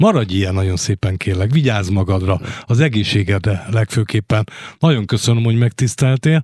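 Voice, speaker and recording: A somewhat breathy man's voice at fairly low pitch and moderate pace, dry and close with no echo, on a very clean recording with a silent background. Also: ordinary pitch variation. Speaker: radio host. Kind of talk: radio interview. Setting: studio. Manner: formal.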